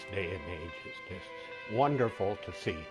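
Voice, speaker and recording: With music behind him, a man talks at a very slow pace. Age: 80s+. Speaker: heart attack survivor. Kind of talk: interview answer.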